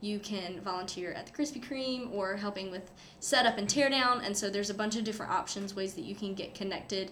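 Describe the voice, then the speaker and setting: A woman with a North Carolina accent talks at a fairly quick pace and medium pitch, with fairly even intonation and audible room echo. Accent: US Southern (North Carolina). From eastern North Carolina (Goldsboro). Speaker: student race director. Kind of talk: casual interview.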